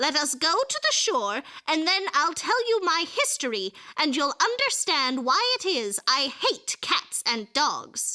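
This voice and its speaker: Using a put-on character voice, a woman speaks fairly slowly at an extremely high pitch with very wide pitch swings. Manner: trembling, passionate.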